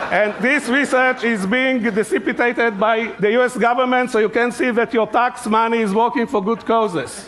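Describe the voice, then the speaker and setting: Someone with a non-native accent speaks at a moderate pace with fairly even intonation. There are hardly any pauses, and noticeable background noise is present. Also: man, extremely high pitch for a man. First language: not English. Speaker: conference speaker. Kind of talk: humorous conference talk. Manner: halting.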